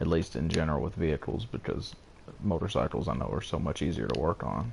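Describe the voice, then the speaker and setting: Quiet and fairly quick, a man speaks with a very deep, low pitch, lively intonation and vocal fry. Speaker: gaming streamer. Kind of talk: casual gameplay commentary with chat. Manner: quiet, holding voice down.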